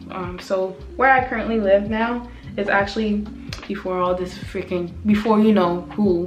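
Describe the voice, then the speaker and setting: Over noticeable background noise and audible room echo, a woman speaks at a fairly slow pace with a medium pitch and fairly even intonation. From West Africa. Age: 20s. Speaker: vlogger. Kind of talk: casual chat. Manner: casual.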